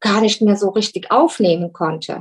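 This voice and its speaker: The pitch of this woman's voice is fairly high. It shifts in an ordinary way. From Germany. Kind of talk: interview. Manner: halting.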